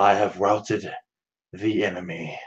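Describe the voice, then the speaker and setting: A man uses a put-on character voice that is raspy and fairly low-pitched. His intonation is monotone and flat, at a moderate pace. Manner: changed, commanding.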